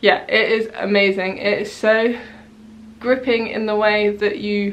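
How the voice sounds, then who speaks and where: Speaking fairly slowly with a British accent, a woman keeps a fairly high pitch in a monotone, flat intonation. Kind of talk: casual talk to camera. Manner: hesitant, stuttery.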